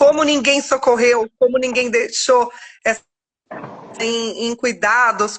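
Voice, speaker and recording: A woman with a fairly high pitch and ordinary pitch variation speaks at a fairly slow pace. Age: 40s. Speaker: author sharing life story. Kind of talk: testimony. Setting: live video stream. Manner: halting.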